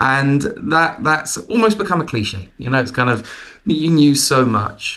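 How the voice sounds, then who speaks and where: This man speaks with an English accent at a fairly high pitch, his tone bright and sharp. He talks at a fairly slow pace with very wide pitch swings. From London, England. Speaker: management consultant. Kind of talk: interview.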